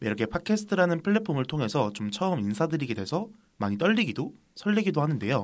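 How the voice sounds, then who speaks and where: A man's very fast speech at a fairly high pitch, with very wide pitch swings. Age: 20s. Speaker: podcast co-host, college student. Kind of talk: casual chat. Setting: studio.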